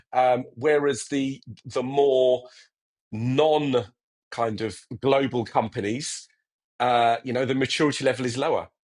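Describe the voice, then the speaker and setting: Speaking with a British accent, a man talks at a medium pitch and a fairly slow pace, with long, frequent pauses. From England. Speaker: technology executive. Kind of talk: interview. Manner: halting, many repetitions.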